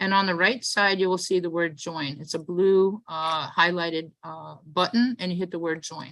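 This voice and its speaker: A New York accent at a fairly quick pace. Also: woman. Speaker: event host and organizer. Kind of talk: event welcome and instructions. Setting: video call. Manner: fast.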